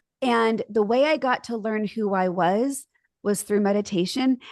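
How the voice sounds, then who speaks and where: A woman's unremarkable speaking voice, fairly high in pitch with ordinary variation, at a fairly slow pace, dry and close with no echo, over a quiet background. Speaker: marriage and family therapist. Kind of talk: interview conversation.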